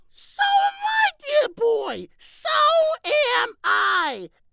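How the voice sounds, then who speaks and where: A man puts on a character voice and delivers his lines at a very slow pace. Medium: solo performance. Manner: genial, wry.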